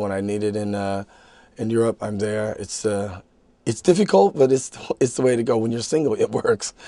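Over a quiet background, a man with an American accent speaks at a fairly quick pace with a dark, mellow tone, ordinary pitch variation and a dry sound with no echo. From United States. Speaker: actor. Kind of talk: interview. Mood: relaxed, reflective. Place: studio.

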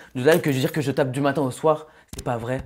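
A man is speaking. His pace is fairly quick. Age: 20s. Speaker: reality TV contestant; interview guest. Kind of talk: interview. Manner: animated. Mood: defensive, insistent. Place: studio. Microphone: lapel.

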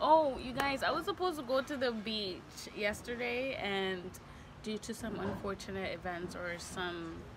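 Noticeable background noise under a woman's very slow delivery. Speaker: vlogger. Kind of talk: casual vlog chat. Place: cafe. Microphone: phone near.

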